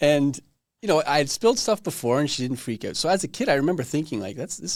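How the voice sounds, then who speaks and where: A man's voice with vocal fry and lively intonation, in a very clean recording with a silent background. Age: 40s. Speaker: podcast host. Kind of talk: casual interview chat.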